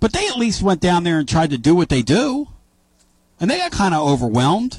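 An animated, high-pitched man with an American accent, very wide pitch swings and a fairly quick pace. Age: 50s. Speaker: sports radio host. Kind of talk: casual sports talk radio.

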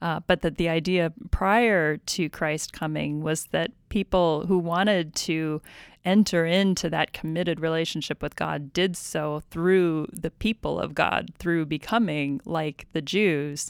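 With a plain, everyday voice, a woman speaks fairly slowly and with hardly any pauses at a fairly low pitch with ordinary pitch variation, on a very clean recording with a silent background and a dry, close sound with no echo. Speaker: podcast host. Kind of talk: Bible study discussion.

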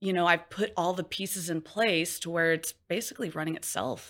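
A woman with an unremarkable speaking voice and fairly low pitch talks at a moderate pace. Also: very clean recording, silent background. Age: 30s. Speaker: med spa owner. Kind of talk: interview.

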